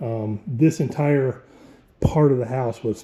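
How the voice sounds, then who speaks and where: With an American accent, the speaker has a dark, mellow tone and sounds somewhat breathy. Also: man. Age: 50s. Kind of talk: casual talk to camera, home tour.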